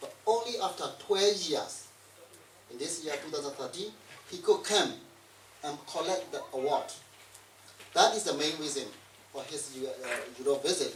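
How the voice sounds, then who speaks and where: With big swings in loudness and lively intonation, a high-pitched man talks at a moderate pace with long, frequent pauses, amid noticeable background noise and audible room echo. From Burma. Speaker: event facilitator, exile media worker. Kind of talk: speech introducing guests. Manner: halting, many fillers.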